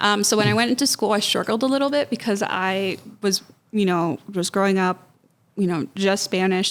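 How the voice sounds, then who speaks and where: A woman with a plain, everyday voice, an American accent, medium pitch and a moderate pace. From US, Mexican and Honduran parents. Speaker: nonprofit executive director. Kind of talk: podcast interview. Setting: studio podcast streamed live.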